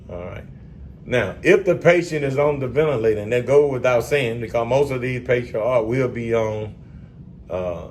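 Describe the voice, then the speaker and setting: A man with a Southern US accent, medium pitch, ordinary pitch variation and a moderate pace, amid noticeable background noise. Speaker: respiratory therapy exam tutor. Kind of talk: educational lecture at whiteboard. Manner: casual, energetic.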